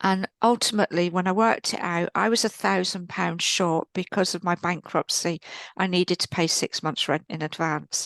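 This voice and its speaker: Ordinary pitch variation at a moderate pace, with an English accent, a dry, close sound with no echo, and a quiet background. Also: woman, fairly low pitch for a woman. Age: 60s. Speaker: spiritual teacher and healer. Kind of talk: podcast interview, personal testimony.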